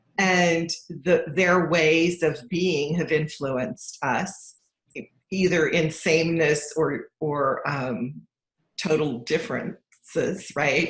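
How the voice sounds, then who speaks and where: Somewhat breathy and fairly low in pitch, a woman speaks at a very slow pace with fairly even intonation. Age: 60s. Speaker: financial coach. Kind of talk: casual chat.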